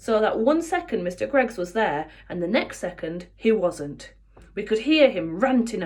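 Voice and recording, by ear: Reading aloud in a natural voice, with lively intonation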